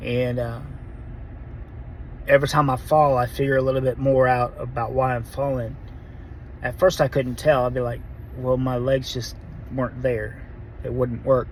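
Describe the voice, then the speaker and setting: A man at a medium pitch and moderate pace, monotone and flat in intonation, with long, frequent pauses. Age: 40s. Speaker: vlogger sharing Parkinson's diagnosis. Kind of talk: personal testimony. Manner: halting, self-correcting.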